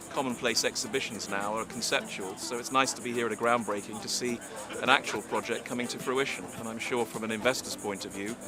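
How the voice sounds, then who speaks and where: With music in the background, a man races along at a very fast pace, his medium pitch held in fairly even intonation. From England. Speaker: immigration attorney. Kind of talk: ceremony speech.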